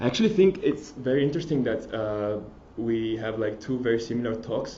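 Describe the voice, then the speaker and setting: A man with a strong Italian accent talks at a moderate pace in a medium pitch. Room echo is audible. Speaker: mobile developer. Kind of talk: conference talk. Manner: halting, many fillers and restarts.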